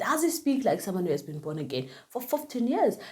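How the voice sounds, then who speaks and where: Animated and full of vocal fry, a woman with a Zulu accent speaks with very wide pitch swings. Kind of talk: casual talk to camera. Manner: loud, bubbly.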